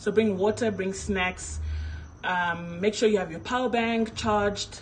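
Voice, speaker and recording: Using a normal speaking voice, a woman talks at a fairly slow pace in a medium pitch with fairly even intonation. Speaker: casting director. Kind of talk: live stream information session. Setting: live stream on social media. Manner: casual, chatty.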